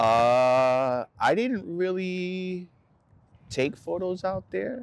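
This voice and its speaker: A man with a Spanish accent speaks at a very slow pace. His high voice moves in very wide pitch swings. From El Salvador, then San Rafael Bay Area from age 8. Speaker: photographer. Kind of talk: casual interview. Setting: outdoors by a park.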